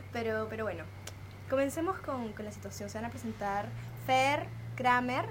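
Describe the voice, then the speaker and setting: The speech moves at a moderate pace with long, frequent pauses, amid noticeable background noise and audible room echo. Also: woman. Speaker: podcast host. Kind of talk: casual chat. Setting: outdoor home terrace.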